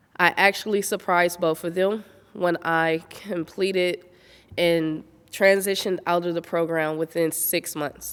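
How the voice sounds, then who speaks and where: A woman talks at a fairly slow pace and fairly low pitch. Her intonation is monotone and flat. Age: 30s. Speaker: honoree sharing her story. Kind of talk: testimony. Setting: virtual event recording.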